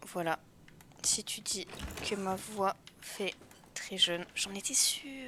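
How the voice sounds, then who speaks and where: Very slow whispering from a woman, with noticeable background noise behind it. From France. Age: 20s. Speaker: video game streamer. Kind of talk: live gameplay commentary. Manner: casual, chatty.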